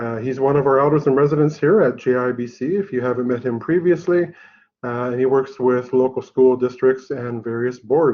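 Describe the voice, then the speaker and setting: A man uses a plain, everyday voice, speaking moderately fast with ordinary pitch variation. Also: medium pitch for a man. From Haida Nation, British Columbia, Canada. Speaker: college director, event host. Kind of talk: formal presentation introduction. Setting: office, online presentation.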